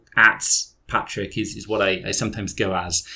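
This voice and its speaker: The speaker has a southern English accent and a moderate pace. The recording is very clean, with a silent background. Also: man. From southern England, Dorset. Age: 30s. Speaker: football fan guest. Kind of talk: casual podcast chat.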